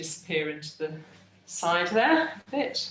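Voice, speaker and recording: Amid audible room echo, a woman with an English accent speaks at a fairly slow pace. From England. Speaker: art teacher. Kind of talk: tutorial. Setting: video call.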